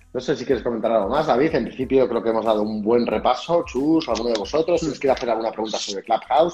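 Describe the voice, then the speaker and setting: A man at medium pitch with ordinary pitch variation, very fast and with hardly any pauses, over music in the background. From Spain, Cuenca. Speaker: real estate agent and podcast host. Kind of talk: podcast intro; live stream conversation. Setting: live stream.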